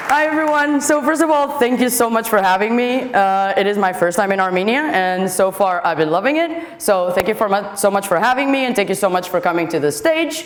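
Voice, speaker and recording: Over noticeable background noise and audible room echo, the speaker talks at a fairly quick pace with hardly any pauses, very even loudness, and very wide pitch swings. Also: woman. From Portugal. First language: Portuguese. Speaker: software developer, conference speaker. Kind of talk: conference talk. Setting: stage with audience. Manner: fast; animated.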